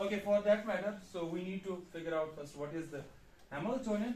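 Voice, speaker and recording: In a room with audible echo and noticeable background noise, a man talks at a fairly quick pace with a high pitch and ordinary pitch variation. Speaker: university physics lecturer. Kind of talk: lecture.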